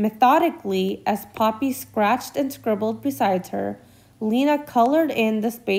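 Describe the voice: Text read aloud, plainly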